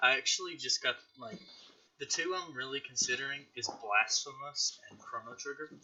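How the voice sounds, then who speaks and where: A man with a strong Southern US accent at a moderate pace, big swings in loudness, and noticeable background noise. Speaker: podcast host, gaming YouTuber. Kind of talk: casual chat.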